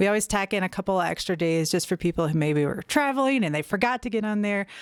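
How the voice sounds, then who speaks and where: A woman with a slight Southern US accent talks at a very fast pace with lively intonation. The recording is very clean with a silent background and a dry, close sound with no echo. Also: medium pitch for a woman. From US South. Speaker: nonprofit executive director. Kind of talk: interview.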